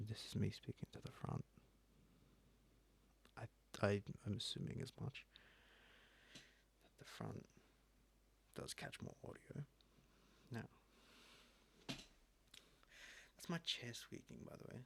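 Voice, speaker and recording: Soft-spoken, a man talks at a very slow pace with long, frequent pauses and big swings in loudness. The sound is dry and close, with no echo. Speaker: ASMR creator. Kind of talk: ASMR talk to camera.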